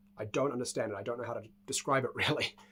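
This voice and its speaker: A man speaks with a New Zealand accent. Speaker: speedcuber. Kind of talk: casual talk to camera.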